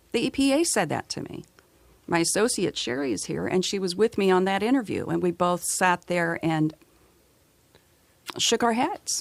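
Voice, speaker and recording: A woman speaks at a moderate pace with a medium pitch and lively intonation. Her speech has long, frequent pauses. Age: 60s. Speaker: documentary filmmaker. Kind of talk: radio interview. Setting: radio studio.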